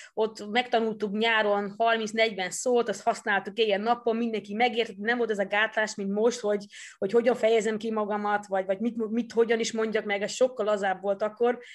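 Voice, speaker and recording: A woman with a Dutch accent talks at a fairly quick pace with hardly any pauses, pitched fairly high. Her intonation is flat and monotone, and the background is quiet. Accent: Dutch-accented Hungarian. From Netherlands. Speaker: former judo athlete and coach. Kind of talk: interview. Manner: halting, repeats words.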